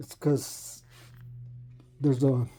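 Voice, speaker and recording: A somewhat breathy man with a dark, mellow tone and monotone, flat intonation. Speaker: woodworker. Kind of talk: casual talk to camera. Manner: rambling, hesitant.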